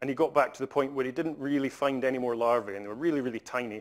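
In a Scottish accent, a man with a medium pitch speaks with ordinary pitch variation against a quiet background. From Scotland. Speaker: conservation scientist; invited lecturer. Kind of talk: lecture. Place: hall.

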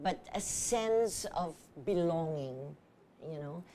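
A woman speaks at a very slow pace with lively intonation and a dark, mellow tone over light background noise. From Philippines. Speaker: theater artist and arts educator. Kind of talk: TV talk show interview. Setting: TV studio. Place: studio. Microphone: lapel.

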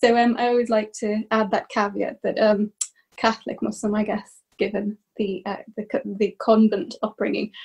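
Against a quiet background, a somewhat breathy voice speaks at a moderate pace in a monotone, flat intonation. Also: woman, fairly high pitch for a woman. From Ireland. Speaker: academic. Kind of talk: panel discussion. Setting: video call. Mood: warm, animated. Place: home room. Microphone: webcam.

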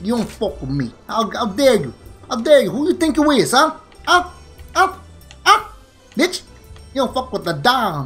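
A put-on character voice in a New York accent swings very widely in fairly high pitch at a moderate pace. Long, frequent pauses break it up while faint music plays in the background. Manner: menacing, aggressive.

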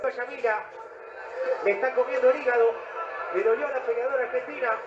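A man speaks at a moderate pace with an extremely high pitch and ordinary pitch variation, over noticeable background noise. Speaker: boxing commentator. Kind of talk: live boxing commentary. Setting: ringside broadcast of a fight. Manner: animated, exclamatory.

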